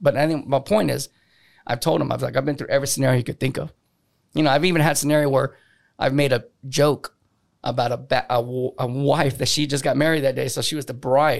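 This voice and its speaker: At a very fast pace, a man talks in a fairly high pitch with vocal fry. The recording is very clean, with a silent background. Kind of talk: casual chat, DJ/emcee-style banter. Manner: animated, playful emcee patter, crowd-hyping and cracking jokes; brash, cocky, loud, swears freely.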